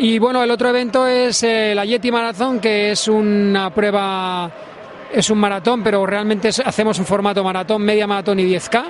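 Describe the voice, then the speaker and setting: Over noticeable background noise, a high-pitched man talks at a moderate pace with very even loudness and fairly even intonation. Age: 50s. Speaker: adventure athlete and event organizer. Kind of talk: interview. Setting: trade fair. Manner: halting.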